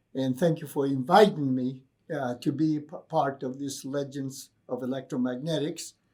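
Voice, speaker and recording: In a Greek accent, a man with a fairly high pitch and a dark, mellow tone speaks at a moderate pace with ordinary pitch variation, on a very clean recording with a silent background. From Greece, then Virginia, US from teens. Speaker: professor. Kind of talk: interview.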